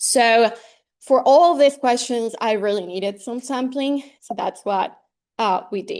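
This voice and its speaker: Fairly slow, high-pitched female voice with a Spanish accent. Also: big swings in loudness. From Colombia, Medellin. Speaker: graduate student researcher in ornithology. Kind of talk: research seminar presentation. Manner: halting, many fillers.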